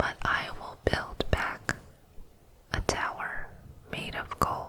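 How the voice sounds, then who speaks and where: Very slow whispering from a woman, with noticeable background noise behind her. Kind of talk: ASMR poetry reading. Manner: whispered, soft-spoken.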